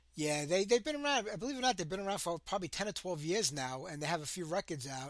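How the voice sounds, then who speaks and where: A man with a Brooklyn accent talks at a very fast pace in a high pitch, with very wide pitch swings. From New York City, Brooklyn. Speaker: radio host. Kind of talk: interview.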